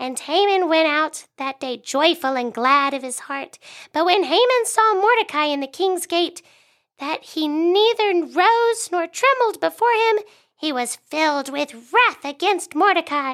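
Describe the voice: A woman puts on a squeaky character voice at an extremely high pitch, with a fairly bright tone. She speaks at a fairly slow pace with lively intonation.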